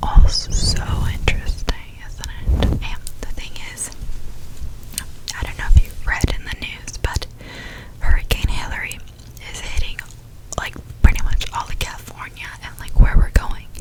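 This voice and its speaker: A whispering woman with an American accent at a moderate pace, with long, frequent pauses and big swings in loudness, over noticeable background noise. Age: 20s. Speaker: ASMR content creator. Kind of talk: whispered ASMR ramble to camera. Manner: whispered, soft-spoken, casual.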